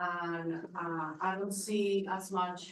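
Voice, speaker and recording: In a Spanish accent, a woman talks with monotone, flat intonation as room echo is audible. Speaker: parent speaking at public comment. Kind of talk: public comment at school board hearing. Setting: school board meeting. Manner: halting.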